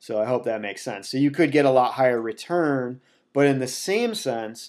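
At a fairly quick pace, an ordinary speaking voice comes through on a very clean recording with a silent background. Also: man. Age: 30s. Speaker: personal finance podcaster. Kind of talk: casual explainer livestream. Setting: Facebook Live stream.

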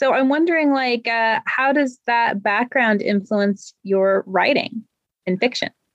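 In an ordinary speaking voice, a woman talks at a fairly slow pace and fairly high pitch, with very even loudness and ordinary pitch variation. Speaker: podcast co-host, author. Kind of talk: interview. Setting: video call.

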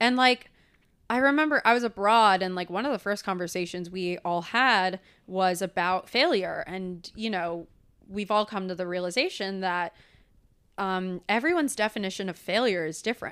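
The recording is very clean with a silent background. A woman speaks in an unremarkable speaking voice at medium pitch, with ordinary pitch variation and a moderate pace. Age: 20s. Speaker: actor, recent theatre graduate. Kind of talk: casual chat.

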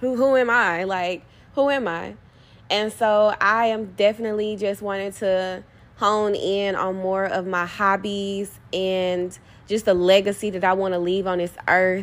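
In a very clean recording with a silent background, a woman with a normal speaking voice speaks at medium pitch with fairly even intonation. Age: 20s. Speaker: podcast host and poet. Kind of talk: casual monologue.

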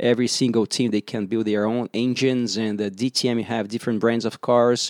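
A man with a Portuguese accent, medium pitch and a fairly quick pace, on a very clean recording with a silent background and a dry, close sound with no echo. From Brazil. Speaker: racing driver. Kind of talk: interview. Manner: halting, many fillers.

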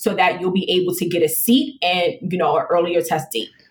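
A woman with an American accent speaks at a fairly quick pace over noticeable background noise. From New York City, the Bronx. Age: 30s. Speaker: police lieutenant, recruiter. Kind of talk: casual interview.

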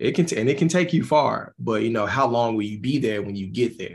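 Fairly quick speech from a man with a Southern US accent. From Mississippi. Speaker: musician. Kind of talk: interview.

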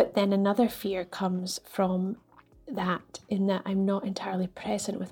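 A woman's medium-pitched, somewhat breathy voice, dark and mellow in tone, monotone and flat in intonation, at a moderate pace. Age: 40s. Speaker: listener. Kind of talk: voice note.

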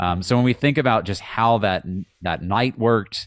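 In a very clean recording with a silent background, a man talks at a fairly low pitch with ordinary pitch variation. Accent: American. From Virginia, near Charlottesville. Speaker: soccer radio play-by-play announcer. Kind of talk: podcast interview. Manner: hesitant, many fillers.

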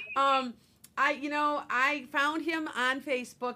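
Loud and bright, a woman's voice comes through. Her tone is sharp. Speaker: psychic radio show host. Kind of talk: casual radio chat. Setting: radio studio.

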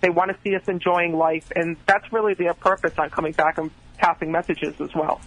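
Against noticeable background noise, a man with a high pitch speaks at a fairly quick pace in a monotone, flat intonation, the sound dry and close with no echo. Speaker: psychic medium. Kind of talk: live psychic readings for callers. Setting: phone call. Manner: fast talker.

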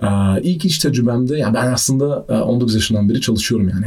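Here a man talks at a very fast pace with ordinary pitch variation. Audible room echo surrounds his voice. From Austria (Vienna). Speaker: deep tech entrepreneur, energy economist. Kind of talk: casual interview.

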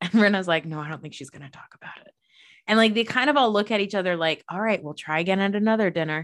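A woman talks at a very fast pace in an American accent, her tone animated. Her pitch varies in an ordinary way, and the background is quiet. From New Jersey. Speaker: podcast host. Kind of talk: casual chat.

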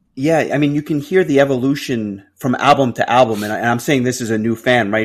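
A man speaks with an ordinary speaking voice at a medium pitch, with ordinary pitch variation. His pace is fairly quick, and the recording is very clean, with a silent background. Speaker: podcast co-host. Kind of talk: casual interview chat.

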